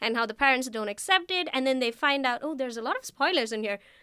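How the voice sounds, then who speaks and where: The recording is very clean, with a silent background. The voice is raised and projected, bright and sharp in tone. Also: woman. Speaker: graduate student. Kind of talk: casual chat. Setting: studio.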